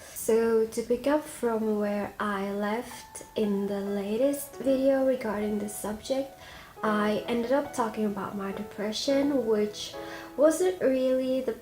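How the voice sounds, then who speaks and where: Music plays behind a woman talking at a very slow pace. Her voice is fairly high, with ordinary pitch variation. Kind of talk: casual storytime talk to camera.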